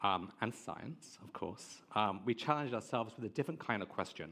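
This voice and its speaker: This man's voice sits at a medium pitch with ordinary pitch variation, in an English accent. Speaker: tech marketing head. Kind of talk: conference presentation.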